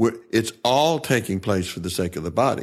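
In a Southern US accent, a man with a fairly low pitch talks at a moderate pace on a very clean recording with a silent background. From Tennessee. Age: 70s. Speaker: worship pastor. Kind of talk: interview.

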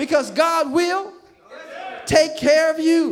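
A man speaks at a fairly slow pace in an extremely high pitch, his intonation fairly even, with audible room echo. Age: 50s. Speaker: pastor. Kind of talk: sermon. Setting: church.

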